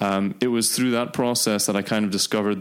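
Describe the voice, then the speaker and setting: A man talks at a fairly quick pace in a monotone, flat intonation. The recording is very clean, with a silent background. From Dubai, UAE. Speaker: startup CEO. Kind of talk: interview. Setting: office.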